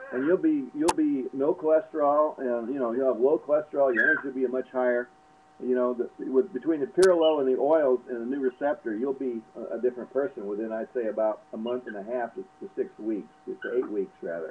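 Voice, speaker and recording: A man's medium-pitched voice with ordinary pitch variation, a fairly quick pace and hardly any pauses, over noticeable background noise. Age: 60s. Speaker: alternative health advisor. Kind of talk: casual advice talk. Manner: halting, many fillers and repeats.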